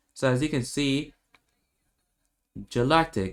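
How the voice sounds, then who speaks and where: Fairly high male voice with a non-native accent, a man speaking at a fairly slow pace. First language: not English. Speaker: gaming youtuber. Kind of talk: game tutorial commentary. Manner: halting, many repetitions and fillers.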